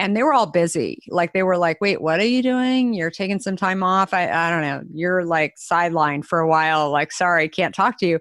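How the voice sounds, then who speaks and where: Here is an ordinary speaking voice: a woman with an American accent, fairly low in pitch, with ordinary pitch variation. The sound is dry and close with no echo, on a very clean recording with a silent background. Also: fairly quick pace. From Arizona. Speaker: beverage company founder and CEO. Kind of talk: interview conversation.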